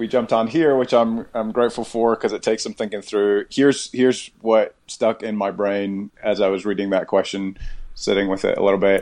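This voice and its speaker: Against a quiet background, a plain, everyday voice moves at a fairly quick pace with fairly even intonation and hardly any pauses. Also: man, medium pitch for a man. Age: 40s. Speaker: pastor. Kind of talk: casual conversation.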